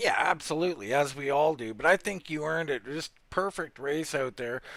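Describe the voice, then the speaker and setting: Moderate in pace, this man has an ordinary speaking voice. His pitch is fairly high, with ordinary pitch variation. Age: 50s. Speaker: sim racing commentator. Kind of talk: interview.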